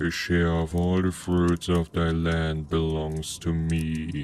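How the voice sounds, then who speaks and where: A man's put-on character voice, very deep and rumbling, flat and monotone, at a fairly slow pace over clear background noise. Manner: menacing, demanding.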